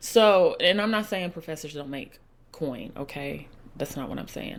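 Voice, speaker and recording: Animated and lively in intonation, a woman with an American accent talks at a moderate pace with a very deep, low pitch, vocal fry and big swings in loudness. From US South, Huntsville, Alabama. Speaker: podcast host. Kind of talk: casual monologue.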